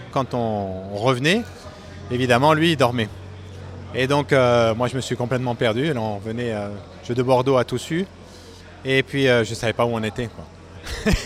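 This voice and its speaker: Over noticeable background noise, a man at medium pitch talks at a fairly slow pace with ordinary pitch variation and long, frequent pauses. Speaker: aircraft factory worker and pilot. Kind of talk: interview testimony.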